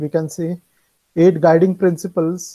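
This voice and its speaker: A man's high-pitched voice with a dark, mellow tone against a quiet background. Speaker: music lecturer. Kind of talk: lecture. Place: home room. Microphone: earbuds.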